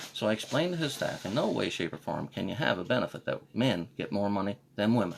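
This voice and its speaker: Over noticeable background noise, a man with a fairly low pitch talks at a very fast pace, his voice making very wide pitch swings. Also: hardly any pauses. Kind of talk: casual live-stream monologue.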